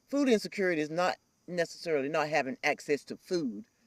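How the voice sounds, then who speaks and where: Someone speaks with a North Carolina accent on a very clean recording with a silent background. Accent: Southern US (North Carolina). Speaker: nonprofit urban farm leader. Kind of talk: interview. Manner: animated; loud.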